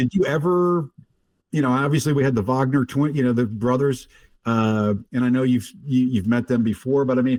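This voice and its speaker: A man talks at a moderate pace in an unremarkable speaking voice, his medium pitch moving in an ordinary way and his loudness staying very even. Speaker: podcast host. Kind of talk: podcast interview.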